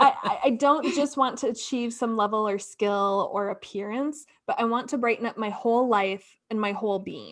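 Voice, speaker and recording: A woman with an ordinary speaking voice talks at a moderate pace with hardly any pauses and ordinary pitch variation against a quiet background. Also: fairly high pitch for a woman. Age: 30s. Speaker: podcast co-host. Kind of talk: casual chat.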